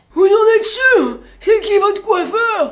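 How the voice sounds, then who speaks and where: A man performs a put-on character voice at an extremely high pitch. He takes a fairly slow pace. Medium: comedy sketch.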